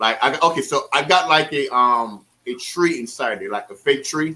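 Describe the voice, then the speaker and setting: Speaking fairly slowly, a man uses a bright, sharp tone and ordinary pitch variation. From Caribbean islands. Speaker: aquarium hobbyist YouTuber. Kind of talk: casual chat. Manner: halting, many fillers.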